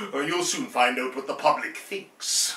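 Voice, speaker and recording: A man's raised, projected voice with audible room echo. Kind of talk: theatrical dialogue reading. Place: home room. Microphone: camera far.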